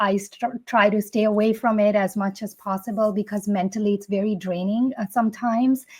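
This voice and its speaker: A woman speaks at a medium pitch with monotone, flat intonation. Her voice is somewhat breathy. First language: not English. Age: 40s. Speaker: fitness content creator. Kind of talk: interview answers. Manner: some hesitations and self-corrections.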